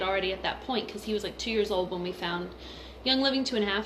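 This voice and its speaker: Amid audible room echo and noticeable background noise, a woman speaks with lively intonation. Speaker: mother and essential oils vlogger. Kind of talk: personal testimony vlog. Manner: casual, filler-heavy.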